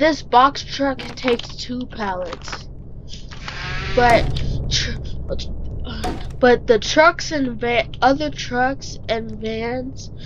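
A woman's high voice at a very slow pace, with noticeable background noise. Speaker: gaming YouTuber. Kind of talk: gameplay tutorial. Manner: halting, stumbling. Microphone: poor quality mic.

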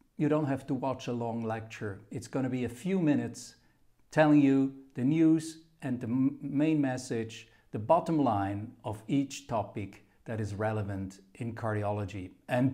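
A dark, mellow tone at a fairly slow pace against a quiet background. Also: man, ordinary pitch variation. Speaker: channel host. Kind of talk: channel introduction to camera. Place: office. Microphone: camera far.

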